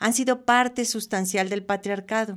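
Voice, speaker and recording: At a fairly slow pace, a woman uses a normal speaking voice at a medium pitch with ordinary pitch variation, in a very clean recording with a silent background. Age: 60s. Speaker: radio host. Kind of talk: radio talk show. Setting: radio studio.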